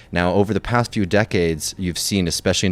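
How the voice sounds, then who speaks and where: Music plays behind a man with an American accent and a very deep, low pitch. His intonation stays fairly even. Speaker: podcast co-host. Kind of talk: explainer segment. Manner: casual, with fillers.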